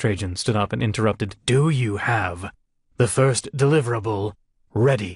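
In a natural reading voice with ordinary pitch variation, the speech sits against a quiet background.

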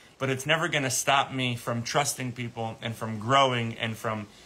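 At a moderate pace, a man speaks at a medium pitch with fairly even intonation. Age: 30s. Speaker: animal sanctuary nonprofit founder. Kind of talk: livestream monologue. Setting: live stream video. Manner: halting, many repeated words; emotional, earnest. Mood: earnest, emotional update. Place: garden. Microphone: phone near.

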